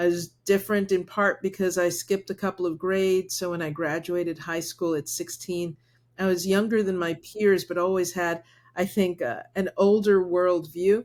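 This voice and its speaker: In a very clean recording with a silent background, a woman of medium pitch talks at a moderate pace with fairly even intonation. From US mainland, Cuban and Puerto Rican parents. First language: Spanish. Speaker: corporate diversity executive. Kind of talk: podcast interview.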